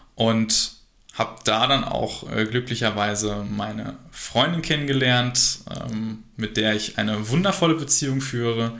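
The voice is bright and sharp, moving at a very slow pace with ordinary pitch variation. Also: man. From Germany, Harsewinkel (Westphalia). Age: 20s. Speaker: workplace safety entrepreneur. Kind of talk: interview. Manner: hesitant, many fillers.

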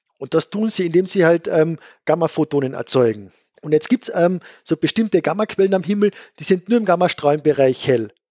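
A man speaks with a fairly high pitch. His pace is fairly quick. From Austria, Carinthia (Gailtal). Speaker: astrophysicist, book author. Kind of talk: casual science chat.

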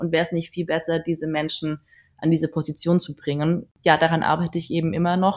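Heard in a very clean recording with a silent background, a woman with an ordinary speaking voice talks at a fairly low pitch and a fairly quick pace. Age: 30s. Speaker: photographer and model agency founder. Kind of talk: casual interview.

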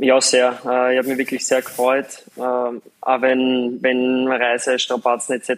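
A man speaks at a medium pitch, and the sound is dry and close with no echo. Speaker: professional footballer. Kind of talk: interview. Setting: live video link.

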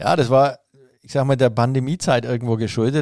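Fairly quick in pace, a man talks at medium pitch in a dark, mellow tone with fairly even intonation. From Franconia, Nuremberg. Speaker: master hairdresser and trade chamber president. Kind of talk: interview. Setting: office.

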